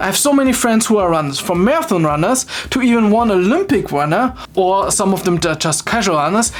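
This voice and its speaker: A woman with a non-native accent, her pitch swinging very widely, over noticeable background noise. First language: not English. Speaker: fitness video creator. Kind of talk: explainer video with personal commentary.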